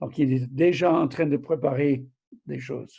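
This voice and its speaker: In a very clean recording with a silent background, a man with a dark, mellow, somewhat breathy tone speaks at a fairly slow pace with ordinary pitch variation. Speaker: preacher. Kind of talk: sermon.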